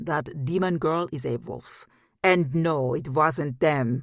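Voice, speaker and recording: In a booming, put-on character voice pitched fairly high, a man speaks at a fairly slow pace on a very clean recording with a silent background. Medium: read story. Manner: forceful, commanding.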